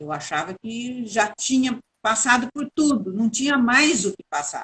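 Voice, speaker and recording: A woman's fairly high, bright and sharp voice moves with lively intonation in a dry, close sound with no echo. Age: 70s. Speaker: architect. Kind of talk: interview testimony.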